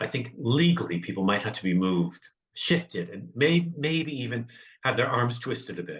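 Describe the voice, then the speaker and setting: A man with an American accent, medium pitch, vocal fry and lively intonation at a moderate pace. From northern California. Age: 60s. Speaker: comedian. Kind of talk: interview conversation.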